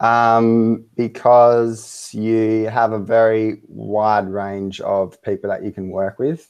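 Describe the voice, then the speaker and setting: Over a quiet background, a man with an Australian accent speaks very slowly at a medium pitch, in a monotone, flat intonation with hardly any pauses. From Western Australia. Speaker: web design business owner, client. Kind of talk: interview. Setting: Skype video call.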